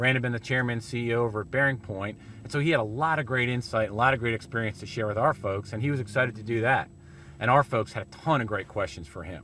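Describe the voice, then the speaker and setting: A man's bright, sharp voice at a very fast pace, with ordinary pitch variation, a dry sound with no echo and light background noise. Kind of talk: corporate video talk to camera. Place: car.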